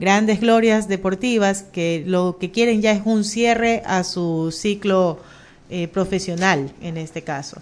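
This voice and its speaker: A woman's medium-pitched voice, very slow in pace, with ordinary pitch variation. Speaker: radio host. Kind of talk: casual chat.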